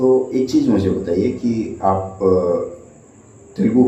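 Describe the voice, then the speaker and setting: There is audible room echo and noticeable background noise around a man speaking. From West Bengal, jute industrial area. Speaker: exam coaching interviewer. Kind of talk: interview. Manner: hesitant with filler sounds.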